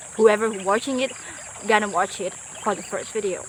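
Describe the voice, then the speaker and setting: A woman speaks at a fairly quick pace with fairly high pitch. Noticeable background noise sits behind her. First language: not English. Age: 20s. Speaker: vlogger. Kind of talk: casual vlog monologue. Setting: outdoors by a forest river. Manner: halting, self-correcting.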